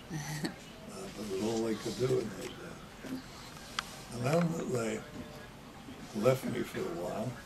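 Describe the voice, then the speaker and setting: Noticeable background noise behind a man's fairly slow speech, its pitch varying in an ordinary way. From London, England. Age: 80s+. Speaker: war veteran. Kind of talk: interview answer.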